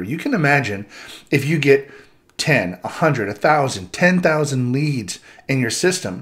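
A man talks with lively intonation. The background is quiet. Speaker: presenter. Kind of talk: tutorial. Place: home room.

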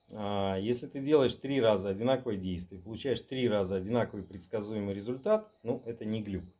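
This man speaks at a fairly quick pace in a fairly low pitch, with ordinary pitch variation. His tone is dark and mellow. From Saint Petersburg, Russia. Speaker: magic practitioner; interview guest. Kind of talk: casual chat. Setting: indoors at night at his home. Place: home room. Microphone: camera far.

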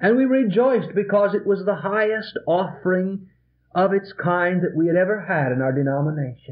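At a moderate pace, a man talks with a high pitch and lively intonation. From American Midwest (Illinois). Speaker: Presbyterian pastor. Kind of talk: sermon. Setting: vintage reel-tape recording from a church. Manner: earnest, pointed, exhorting. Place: church. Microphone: old recording.

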